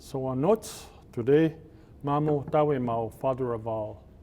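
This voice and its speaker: A man speaks at a fairly high pitch with a dark, mellow tone. His pitch varies an ordinary amount. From Cree reserve, Alberta, Canada. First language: Cree. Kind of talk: blessing and invocation.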